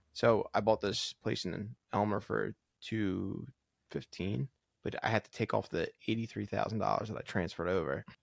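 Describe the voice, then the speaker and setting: At a moderate pace, a man with an American accent speaks in a dry, close sound with no echo on a very clean recording with a silent background. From upstate New York and New Jersey. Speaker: podcast co-host, engineer. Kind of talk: casual chat.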